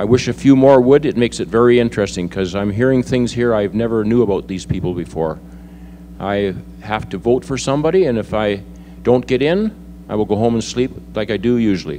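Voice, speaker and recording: With noticeable background noise, a man with a Canadian accent talks at a fairly quick pace, his fairly low pitch showing ordinary variation. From British Columbia, Canada (Kamloops). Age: 60s. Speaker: mayoral candidate. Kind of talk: candidate forum speech.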